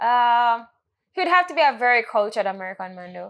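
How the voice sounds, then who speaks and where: Her tone bright and sharp, a woman with a Jamaican accent lets her pitch range through very wide swings. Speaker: podcast host. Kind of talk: casual chat.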